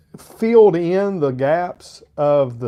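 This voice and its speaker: This man speaks in a high pitch with a slight Arkansas accent. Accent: slight Southern (Arkansas). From Arkansas, US South. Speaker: fragrance reviewer, live streamer. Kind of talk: live stream review, casual chat. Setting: live stream with chat.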